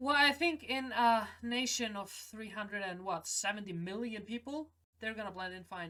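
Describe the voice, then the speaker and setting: Her pitch fairly high and her tone bright and sharp, a woman speaks with very wide pitch swings. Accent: non-native. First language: not English. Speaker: film reaction youtuber. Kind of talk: casual film reaction and review.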